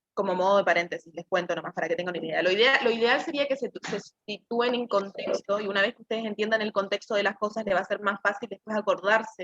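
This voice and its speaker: Her pace is very fast and her pitch fairly high. The woman's voice has a dry, close sound with no echo. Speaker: student tutor. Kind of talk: tutoring session.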